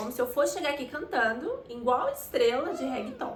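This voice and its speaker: A woman's high-pitched, animated voice amid audible room echo and noticeable background noise. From Brazil. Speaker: vlogger. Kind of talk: personal storytelling vlog.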